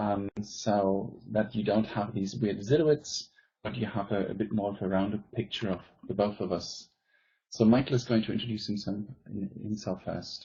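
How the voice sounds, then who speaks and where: Somewhat breathy and fairly low in pitch, a man speaks with a German accent at a moderate pace and with ordinary pitch variation. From Germany. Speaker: teacher and presenter. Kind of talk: conference presentation.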